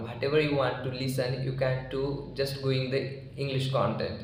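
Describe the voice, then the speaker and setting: With an Indian accent, a man speaks at medium pitch and a moderate pace. There is audible room echo and noticeable background noise. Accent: Indian (Marathi) English. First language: Marathi. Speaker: English learning YouTuber. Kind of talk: informal tutorial talk. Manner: halting, with many fillers.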